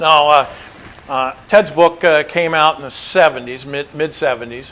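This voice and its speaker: A fairly slow, fairly even delivery with an American accent, over noticeable background noise. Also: man, fairly high pitch for a man. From Montana. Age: 70s. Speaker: motorcycle adventurer and author. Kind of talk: presentation to an audience. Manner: casual, hesitant with fillers.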